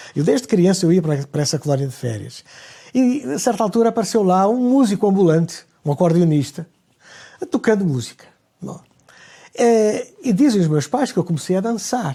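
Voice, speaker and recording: With a dark, mellow tone, the speaker makes very wide pitch swings and takes long, frequent pauses. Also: man, high pitch for a man, moderate pace. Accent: European Portuguese. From Portugal, Lisbon. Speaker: conductor. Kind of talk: interview. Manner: halting.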